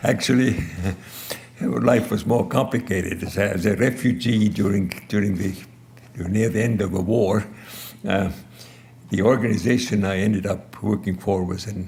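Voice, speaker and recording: Amid noticeable background noise and audible room echo, a man with fairly low pitch and ordinary pitch variation speaks at a moderate pace with long, frequent pauses. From Estonia. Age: 80s+. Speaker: audio engineer and inventor. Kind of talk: award acceptance speech.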